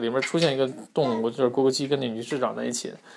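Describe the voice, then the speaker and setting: A man talks at a very fast pace. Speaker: podcast host. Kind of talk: casual monologue. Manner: many filler sounds, hesitant.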